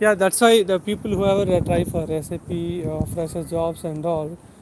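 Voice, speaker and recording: A man with a Telugu accent speaks at a moderate pace, high-pitched for a man, with fairly even intonation and noticeable background noise. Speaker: YouTube tech educator. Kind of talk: livestream chat with viewers. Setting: outdoors, walking.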